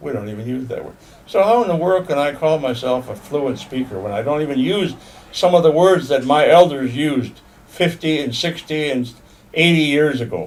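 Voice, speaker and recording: A man talks with lively intonation and a fairly high pitch at a moderate pace while noticeable background noise sits underneath. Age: 80s+. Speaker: Potawatomi language elder and teacher. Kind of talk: informal monologue to language learners. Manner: halting, repeats words.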